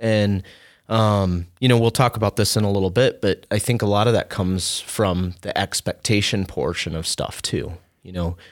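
A man speaks at a moderate pace and a fairly low pitch with ordinary pitch variation. The sound is dry and close with no echo, and the recording is very clean against a silent background. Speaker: podcast host. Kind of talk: casual conversational podcast discussion. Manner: hesitant, filler-heavy.

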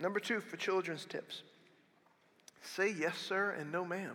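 A man's raised, projected voice, high in pitch and bright and sharp in tone, with ordinary pitch variation at a moderate pace. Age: 40s. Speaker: pastor. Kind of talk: sermon. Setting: church. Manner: animated.

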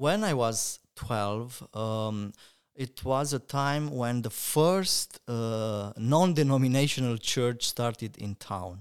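The speaker talks at a very slow pace with ordinary pitch variation, in a very clean recording with a silent background. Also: man, medium pitch for a man. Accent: Romanian. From Romania, Cluj region. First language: Romanian. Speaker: pastor. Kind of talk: interview.

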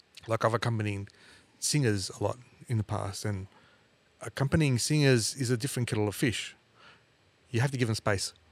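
Talking at a fairly quick pace, a man with an Australian accent uses a medium pitch and ordinary pitch variation, captured dry and close with no echo. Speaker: podcast host, music teacher. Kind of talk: casual interview.

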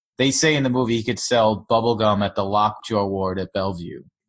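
A man with an American accent talks at a fairly quick pace in a normal speaking voice. His pitch is medium, with ordinary pitch variation. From Long Island, New York. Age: 30s. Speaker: startup founder. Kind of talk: interview.

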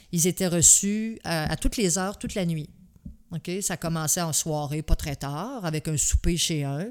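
A woman's unremarkable speaking voice, fairly low in pitch, with ordinary pitch variation at a fairly slow pace on a very clean recording with a silent background. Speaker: host's mother, military spouse. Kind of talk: casual chat.

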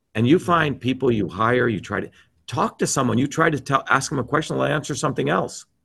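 Against a quiet background, a man talks at a fairly quick pace and medium pitch with ordinary pitch variation, a bright, sharp tone and vocal fry. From New Jersey, US. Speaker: presidential candidate and author. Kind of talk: heated interview rant. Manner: animated, abrasive, profane.

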